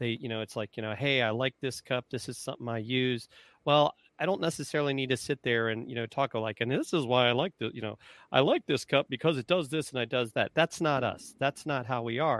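Delivered at a fairly quick pace, a plain, everyday voice carries ordinary pitch variation. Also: man, medium pitch for a man. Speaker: marketing consultant and retired Marine officer. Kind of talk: casual interview. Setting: live video call.

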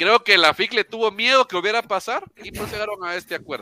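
The sound is dry and close with no echo. A man talks at a fairly quick pace. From Nicaragua. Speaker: football fan, Facebook group admin. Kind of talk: casual chat. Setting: online call.

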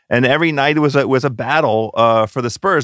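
The recording is very clean, with a silent background and a dry, close sound with no echo. A man speaks with ordinary pitch variation. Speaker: basketball commentator. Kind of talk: casual chat. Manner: animated.

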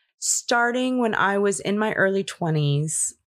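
A woman's medium-pitched voice in an American accent, fairly slow and lively in intonation, on a very clean recording with a silent background. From Los Angeles, California. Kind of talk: casual interview chat.

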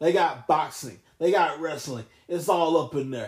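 The man speaks with fairly even intonation. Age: 20s. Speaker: wrestling podcast host. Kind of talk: casual solo podcast chat.

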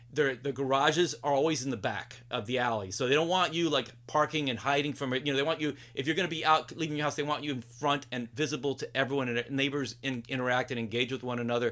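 A man with a medium pitch and a bright, sharp tone talks at a very fast pace with hardly any pauses and fairly even intonation. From Puerto Rico and New Jersey, Cuban family. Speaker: improv comedian and teacher. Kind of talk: casual chat. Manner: halting.

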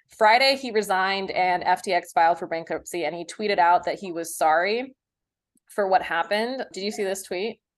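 In a plain, everyday voice, a woman speaks at a fairly quick pace with medium pitch and ordinary pitch variation against a quiet background. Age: 30s. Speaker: podcast host and comedian. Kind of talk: casual interview chat.

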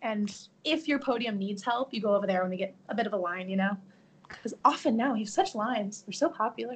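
Speaking at a very fast pace, a woman has a fairly high pitch, ordinary pitch variation and a somewhat breathy sound. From Chicago suburbs, Illinois. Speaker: theme park guest services worker. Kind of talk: casual chat.

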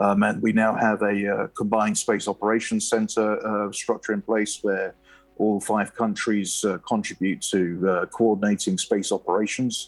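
A man with a British accent at a moderate pace, very even loudness, music in the background. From United Kingdom. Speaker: space policy analyst. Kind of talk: interview.

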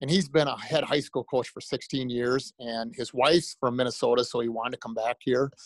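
A man with an American accent, medium-pitched, at a fairly quick pace with hardly any pauses, ordinary pitch variation, and a dry, close sound free of echo. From US Midwest, Iowa. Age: 60s. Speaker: high school basketball coach. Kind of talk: casual interview. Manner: fast talker; energetic.

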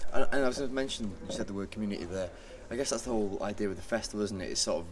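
A man speaks very fast in a Mancunian accent, his pitch fairly low. Music plays in the background. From Manchester, England. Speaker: podcast host. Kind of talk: casual chat.

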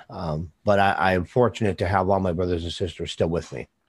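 A man speaks in a very deep, low voice with an American accent. His intonation stays fairly even against a quiet background. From US Midwest. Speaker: podcast host. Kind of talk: casual interview. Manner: halting, filler-heavy.

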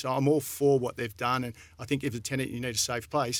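A man's medium-pitched voice with an Australian accent and fairly even intonation. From Australia, country Victoria. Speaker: real estate company director. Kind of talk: casual chat. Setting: studio.

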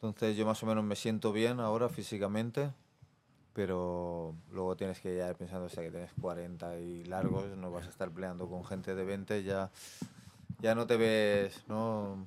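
In a very deep, low pitch, a man speaks with fairly even intonation. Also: fairly slow pace. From Barcelona, Spain (Besòs). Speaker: professional MMA fighter. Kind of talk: casual interview. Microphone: far from the mic.

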